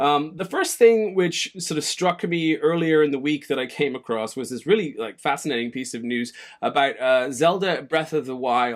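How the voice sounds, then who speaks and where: With lively intonation and a fairly high pitch, a man speaks at a moderate pace in a plain, everyday voice. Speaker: gaming news show host. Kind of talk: solo gaming news commentary.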